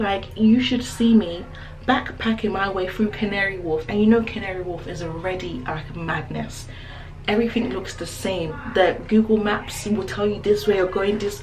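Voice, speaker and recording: A woman speaks at a medium pitch and a moderate pace, with ordinary pitch variation. Room echo is audible, and background noise is noticeable. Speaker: lifestyle vlogger. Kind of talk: casual vlog chat. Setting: public toilets. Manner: animated.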